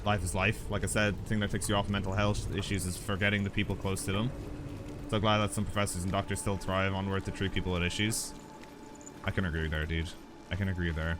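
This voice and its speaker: Quiet and fairly low-pitched, a man speaks at a very fast pace with very even loudness. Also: fairly even intonation. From Ireland. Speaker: gaming streamer. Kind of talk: let's play commentary, chatting with viewers. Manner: halting.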